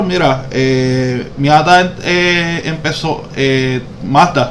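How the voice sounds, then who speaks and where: Amid audible room echo and noticeable background noise, a man speaks with ordinary pitch variation. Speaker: car podcast co-host. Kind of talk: casual chat.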